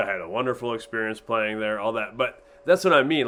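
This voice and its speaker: A bright, sharp tone from a man with an American accent. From Iowa (US Midwest). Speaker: teacher. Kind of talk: storytelling to a class.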